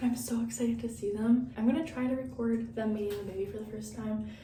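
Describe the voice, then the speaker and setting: A woman whispers in a room with audible echo. Noticeable background noise runs underneath. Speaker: vlogger. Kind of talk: vlog diary. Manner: whispering.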